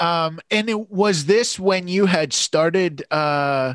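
In a dry, close recording with no echo, a man with an ordinary speaking voice talks at a fairly high pitch with lively intonation. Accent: Canadian. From Canada (London, Ontario). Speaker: podcast host and comedian. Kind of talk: casual interview chat.

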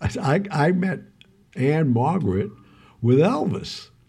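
A man's somewhat breathy voice with a dark, mellow tone and very wide pitch swings. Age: 70s. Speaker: podcast co-host, former actor and club owner. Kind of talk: casual chat. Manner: halting.

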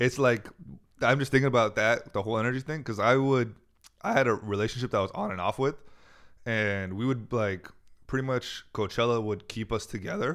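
With a Californian accent, a man speaks at a fairly quick pace with a medium pitch and ordinary pitch variation, in a very clean recording with a silent background. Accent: Californian American. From US Bay Area. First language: Farsi. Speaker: comedian. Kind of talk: casual chat.

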